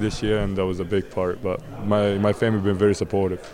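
A man with an Arabic accent at a very fast pace, over noticeable background noise. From Egypt. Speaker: college basketball player. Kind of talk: interview. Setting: media days event.

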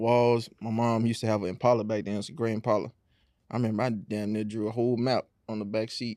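A man with an American accent speaks at a very fast pace and medium pitch. His tone is dark and mellow, his intonation monotone and flat. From Houston area, Texas. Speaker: custom shoe artist, guest. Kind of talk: casual interview.

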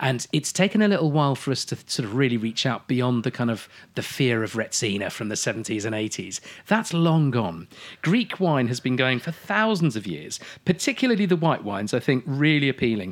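With very wide pitch swings around a medium pitch, a man talks at a fairly quick pace. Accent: English. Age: 40s. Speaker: wine expert. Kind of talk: casual chat. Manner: animated.

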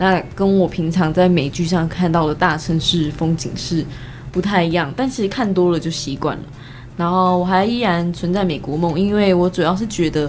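A woman with a fairly low pitch, a moderate pace, ordinary pitch variation and an unremarkable speaking voice. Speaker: university student. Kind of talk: casual chat.

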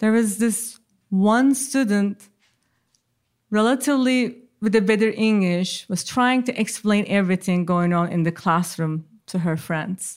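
Recorded very cleanly against a silent background, a woman with a Turkish accent speaks fairly slowly at a medium pitch with ordinary pitch variation. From Turkey. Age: 40s. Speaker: social scientist. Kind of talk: storytelling. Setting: stage with audience.

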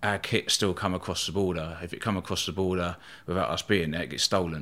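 A man with a very deep, low pitch speaks in a southern English accent at a fairly quick pace. His intonation is fairly even, and the recording is very clean with a silent background. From southern England, East Sussex. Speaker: bodyguard and former soldier. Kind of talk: casual interview.

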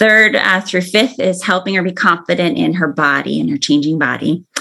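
Quick-paced and bright, a woman's sharp tone carries noticeable vocal fry. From Arizona. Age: 50s. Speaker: family therapist. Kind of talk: interview.

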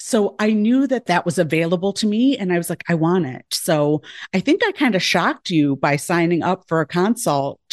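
Delivered at a moderate pace with lively intonation and hardly any pauses, the speech has a dry, close sound with no echo over a quiet background. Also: woman, fairly low pitch for a woman. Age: 40s. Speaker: former pediatrician and life coach. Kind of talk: casual podcast interview. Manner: warm, funny, animated.

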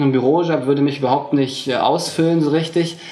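In a room with audible echo and noticeable background noise, a man talks at a fairly high pitch in a monotone, flat intonation. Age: 20s. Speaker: mind reader and mentalist. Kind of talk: interview. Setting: hotel.

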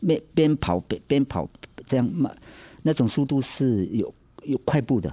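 The voice has vocal fry and a dark, mellow tone, with lively intonation. It moves at a fairly slow pace with long, frequent pauses, and the sound is dry and close with no echo. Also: man, medium pitch for a man. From Taiwan, central mountains, Atayal village. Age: 60s. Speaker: church elder and rural medical driver. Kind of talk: life story interview. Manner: halting, many fillers and repetitions.

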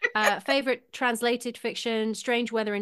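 A woman speaks in a Mancunian accent over a quiet background. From Manchester, England. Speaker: novelist. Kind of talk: casual chat.

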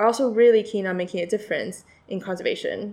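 With an American accent, a woman uses an ordinary speaking voice at a fairly high pitch, her intonation fairly even. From China and the US. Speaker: PhD student and conservation project coordinator. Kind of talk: interview.

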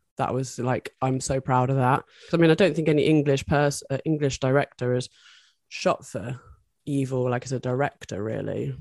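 Recorded with a dry, close sound and no echo, a woman with a British accent speaks in a very deep, low pitch and fairly even intonation. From UK. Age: 40s. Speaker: adult film performer and director. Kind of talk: interview.

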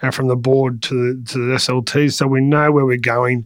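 This man has an Australian accent and a medium pitch. He speaks at a fairly quick pace. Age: 40s. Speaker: transport company CEO. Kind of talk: interview.

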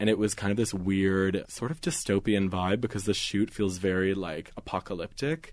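A man with a normal speaking voice talks at a fairly low pitch and a moderate pace, with ordinary pitch variation. He hardly pauses, and the background is quiet. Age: 20s. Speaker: magazine digital director. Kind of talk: casual interview.

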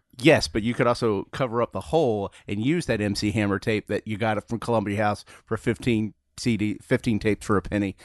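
Over a quiet background, a man with a Southern US accent talks at a very fast pace, his fairly low pitch showing ordinary variation. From US Deep South. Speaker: comedian and trivia host. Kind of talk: casual chat.

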